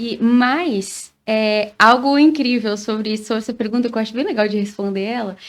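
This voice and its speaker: A woman with a southern Brazilian accent talks at a moderate pace, her fairly high voice showing ordinary pitch variation. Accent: gaúcho. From Rio Grande do Sul, Brazil. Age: 30s. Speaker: singer. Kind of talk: interview.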